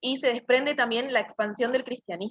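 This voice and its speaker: A woman speaks with a bright, sharp tone and fairly even intonation. The sound is dry and close, with no echo. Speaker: student tutor. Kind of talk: tutoring session. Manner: fast.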